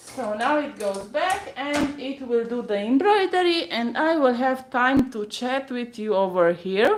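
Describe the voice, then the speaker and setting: A woman with a Romanian accent talks at a high pitch, her voice making very wide pitch swings. She hardly pauses, and there is noticeable background noise. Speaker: embroidery tutor. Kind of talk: live-stream tutorial. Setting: home studio, live stream. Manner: halting.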